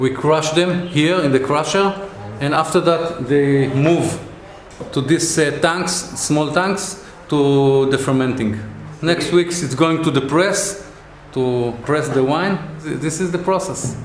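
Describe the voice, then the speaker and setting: Noticeable background noise sits behind a man speaking at a fairly slow pace. His voice is fairly high with fairly even intonation. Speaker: family winery owner, grape grower. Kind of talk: casual interview answer.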